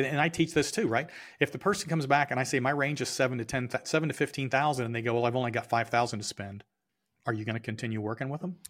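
The speech comes at a very fast pace with ordinary pitch variation, on a very clean recording with a silent background. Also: man, medium pitch for a man. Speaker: sales consultant and business owner. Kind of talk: casual interview chat. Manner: conversational, storytelling.

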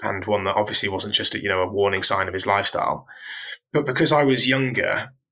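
A man with a British accent speaks at a fairly quick pace, his pitch fairly low. His tone is bright and sharp, with fairly even intonation. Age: 30s. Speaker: fitness coach. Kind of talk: casual chat.

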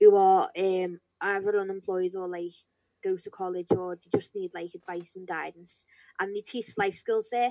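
With a Liverpool accent, a woman talks with ordinary pitch variation in a very clean recording with a silent background and a dry, close sound with no echo. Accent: Scouse. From Merseyside, England (St Helens area). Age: 20s. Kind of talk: interview. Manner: hesitant, filler-heavy.

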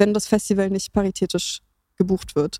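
A woman's dark, mellow tone at a moderate pace. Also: dry, close sound with no echo. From Berlin, Germany. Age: 30s. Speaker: music journalist and radio presenter. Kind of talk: casual interview.

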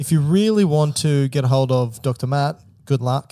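Talking at a fairly quick pace, a man uses a fairly high pitch with a dark, mellow tone. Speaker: medical podcast host. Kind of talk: casual chat. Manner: joking.

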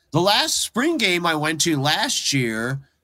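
A man's raised, projected voice in an American accent, bright and sharp in tone, at a fairly slow pace. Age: 50s. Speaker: drummer. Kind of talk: casual chat. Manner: casual, swears a lot.

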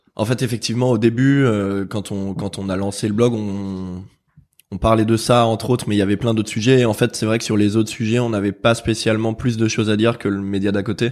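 Here a man speaks at a fairly quick pace. His intonation is monotone and flat. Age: 30s. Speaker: magazine co-founder. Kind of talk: casual chat.

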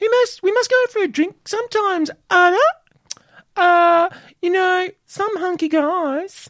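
Very slowly, someone delivers a put-on character voice at an extremely high pitch. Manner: flirty, camp.

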